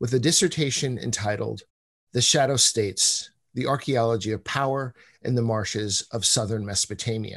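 A somewhat breathy male voice against a quiet background. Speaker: host introducing a lecturer. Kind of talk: formal introduction. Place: home room. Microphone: video call.

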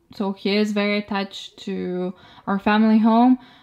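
At a moderate pace, a woman speaks in a medium pitch with fairly even intonation and a clear, smooth, slightly mellow tone.

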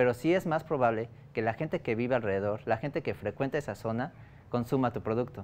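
A man speaks very fast, his medium pitch showing ordinary variation. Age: 20s. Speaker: startup founder. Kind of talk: business pitch and interview. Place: studio. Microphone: lapel.

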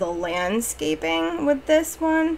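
A woman talks as light background noise plays behind her. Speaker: game build creator. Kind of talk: casual gameplay commentary voice-over. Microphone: studio mic.

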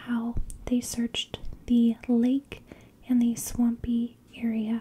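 Soft-spoken and gentle, a woman talks in a high pitch with a dark, mellow tone and monotone, flat intonation. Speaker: storyteller. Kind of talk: true crime narration. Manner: soft-spoken, gentle close-mic ASMR voice. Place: home room. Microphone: studio mic.

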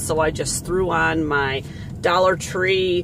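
A woman with a fairly low voice talks over noticeable background noise, and the sound is dry with no echo. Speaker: vlogger. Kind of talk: casual vlog chat. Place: car. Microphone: phone near.

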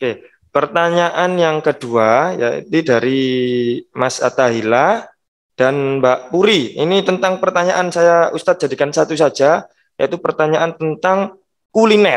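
At a fairly slow pace, a man with an ordinary speaking voice talks at a fairly high pitch and very even loudness. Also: ordinary pitch variation, quiet background. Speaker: school teacher acting as emcee. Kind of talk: formal event moderating. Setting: video call. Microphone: video call.

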